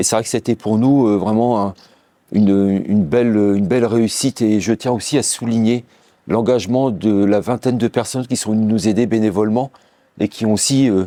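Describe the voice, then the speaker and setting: Dark and mellow in tone, a man's fairly low voice carries fairly even intonation and very even loudness. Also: moderate pace. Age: 60s. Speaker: business owner. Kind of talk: company presentation interview. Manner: halting, many hesitations.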